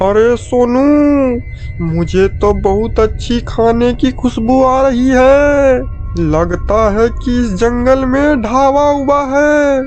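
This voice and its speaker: Over clear background music, a man does a cartoonish character voice at an extremely high pitch and a very slow pace. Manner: boastful, bossy.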